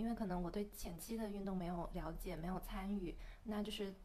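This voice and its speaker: In a plain, everyday voice, a woman talks at a fairly quick pace with a medium pitch and fairly even intonation. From mainland China. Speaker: podcast co-host. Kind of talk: casual chat.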